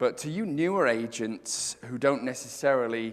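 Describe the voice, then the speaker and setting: A loud man at a fairly high pitch, with very wide pitch swings and a moderate pace. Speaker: real estate speaker. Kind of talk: conference talk. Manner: animated.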